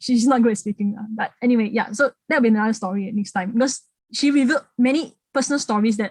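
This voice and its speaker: Speaking at a fairly quick pace in a Singaporean accent, a woman with a fairly high pitch is captured in a dry, close sound with no echo. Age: 30s. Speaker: heritage speaker. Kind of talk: public talk. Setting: online talk. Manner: halting, repetitive.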